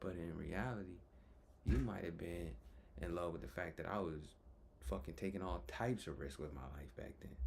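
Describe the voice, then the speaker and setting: A man talks at a moderate pace in a dark, mellow tone touched by vocal fry. Audible room echo is present. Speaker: vlogger. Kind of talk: personal vlog monologue. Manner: halting, with stutters and pauses.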